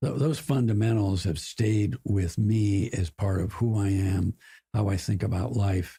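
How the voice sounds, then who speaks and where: A man's fairly low, somewhat breathy voice with an American accent, a dark, mellow tone, ordinary pitch variation, very even loudness, and a fairly slow pace. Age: 80s+. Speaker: corporate board director. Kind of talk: podcast interview.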